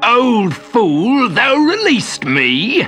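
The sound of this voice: Over faint background music, a man in a put-on character voice speaks very slowly at an extremely high pitch, with very wide pitch swings and a fairly bright tone.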